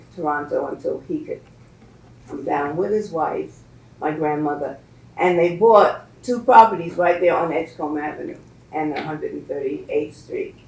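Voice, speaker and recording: A woman with an American accent speaks with big swings in loudness, with audible room echo around her. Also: moderate pace. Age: 80s+. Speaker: community elder and educator. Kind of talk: talk to a class. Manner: halting.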